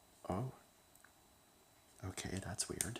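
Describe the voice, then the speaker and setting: Soft-spoken, a man talks against noticeable background noise. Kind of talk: ASMR ramble, casual talk to camera.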